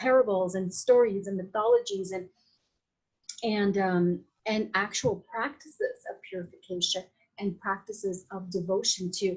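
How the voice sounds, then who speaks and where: A woman's somewhat breathy voice at medium pitch. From Latin America. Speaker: Vedic astrologer and Ayurvedic practitioner. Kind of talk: podcast interview. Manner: animated; halting with many fillers.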